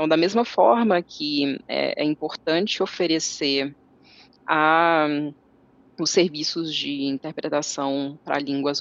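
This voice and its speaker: Her voice is very deep and low in pitch for a woman. She speaks at a fairly slow pace with ordinary pitch variation. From Brazil, interior of Minas Gerais. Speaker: translator and interpreter. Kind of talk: casual interview. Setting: video call.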